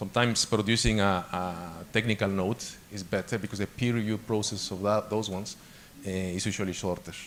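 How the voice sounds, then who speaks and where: A man with a Spanish accent talks at a fairly quick pace, his fairly low pitch kept in fairly even intonation. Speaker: guest lecturer on academic publishing. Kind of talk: lecture. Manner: halting, frequent repetitions and fillers.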